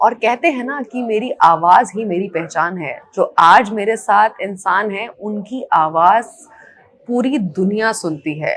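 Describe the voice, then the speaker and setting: With an unremarkable speaking voice, a woman talks at a medium pitch using lively intonation and big swings in loudness. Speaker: interviewer. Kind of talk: interview questions.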